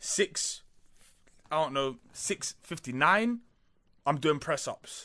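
At a very slow pace with long, frequent pauses, a man speaks in a bright, sharp tone with lively intonation. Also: fairly high pitch for a man. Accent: London. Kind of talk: casual chat.

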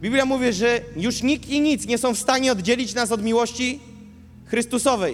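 A man's extremely high voice. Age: 20s. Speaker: preacher. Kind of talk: sermon. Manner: animated.

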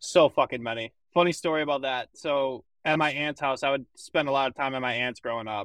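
A man with a fairly high pitch talks in a normal speaking voice at a fairly quick pace with hardly any pauses and fairly even intonation, the sound dry and close with no echo over a quiet background. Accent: American. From Michigan. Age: young. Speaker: college hockey player. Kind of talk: casual chat.

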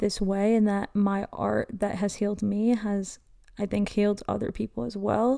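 The voice has a dark, mellow tone and a monotone, flat intonation at a fairly slow pace. The recording is very clean, with a silent background. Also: woman. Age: 20s. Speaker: mental health podcaster and artist. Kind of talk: personal monologue. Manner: casual, chatty.

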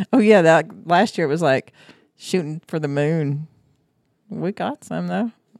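A woman with a fairly low voice speaks fairly slowly, with long, frequent pauses. Her intonation is lively, and the sound is dry and close with no echo. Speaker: family member and co-host. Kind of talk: casual family chat. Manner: joking, talkative.

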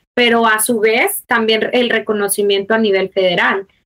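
Here a woman with a plain, everyday voice talks at a fairly high pitch with ordinary pitch variation. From Mexico. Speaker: mother of a child with a rare disease. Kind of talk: personal testimony in interview.

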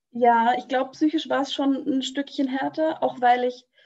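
A woman speaks at a moderate pace with ordinary pitch variation over a quiet background. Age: 20s. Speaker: radio trainee, pregnant guest. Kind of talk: casual interview.

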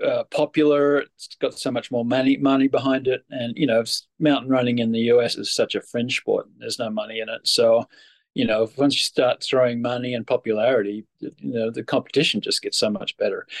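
A man with an American accent at a fairly quick pace, the sound dry and close with no echo. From Australia. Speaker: mountain runner. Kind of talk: casual interview.

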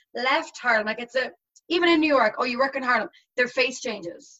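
With an Irish accent, a woman speaks in a high voice with ordinary pitch variation. Her pace is moderate. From Ireland. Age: 20s. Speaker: teacher. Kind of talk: casual chat. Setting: video call.

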